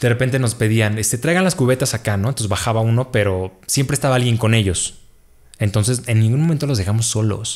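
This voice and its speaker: Over a quiet background, the speech runs at a very fast pace with ordinary pitch variation. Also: man. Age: 30s. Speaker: storyteller guest; guest. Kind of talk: storytelling testimony. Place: home room. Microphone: studio mic.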